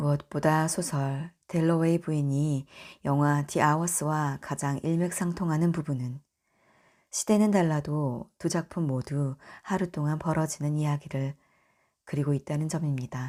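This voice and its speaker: A woman with a very deep, low pitch speaks in a gentle, calm, dark and mellow tone at a fairly slow pace. Her intonation is fairly even, and the recording is very clean with a silent background. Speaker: audiobook reader. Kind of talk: audiobook reading of a book about films, for sleep listening. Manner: gentle, calm, somewhat shy and unpracticed reading.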